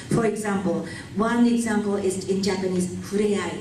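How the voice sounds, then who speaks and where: Against noticeable background noise, a woman of medium pitch speaks at a fairly slow pace with fairly even intonation. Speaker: simultaneous interpreter. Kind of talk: keynote speech.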